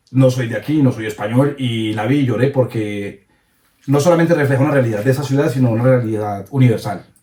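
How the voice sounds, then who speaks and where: A man speaks at a fairly quick pace in a dark, mellow tone. His voice is somewhat breathy. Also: medium pitch for a man, ordinary pitch variation. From Colombia, coffee region (Cartago). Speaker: content creator. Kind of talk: interview.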